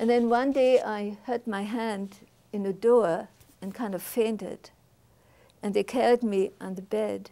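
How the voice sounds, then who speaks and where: A woman with a German accent, dark and mellow in tone, at a fairly slow pace with fairly even intonation and long, frequent pauses. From Germany. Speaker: Holocaust survivor. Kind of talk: testimony. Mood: reflective, earnest. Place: studio. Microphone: lapel.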